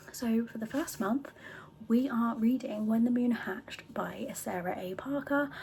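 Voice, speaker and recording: A soft-spoken woman with a British accent, fairly high pitch, and moderate pace, amid noticeable background noise. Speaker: book vlogger. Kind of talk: casual vlog talk. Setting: home book room.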